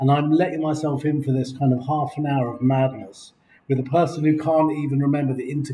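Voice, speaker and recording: Speaking very fast in an English accent, a man has a fairly high pitch and a dark, mellow, somewhat breathy tone. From England. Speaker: video blogger. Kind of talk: casual chat. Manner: animated. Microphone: laptop recording.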